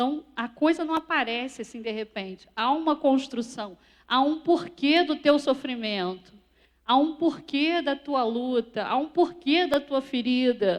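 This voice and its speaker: Her pitch is high, and her intonation is lively. The woman speaks at a fairly slow pace against a quiet background. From Portugal, moved to Brazil at age six. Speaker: speaker. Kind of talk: sermon.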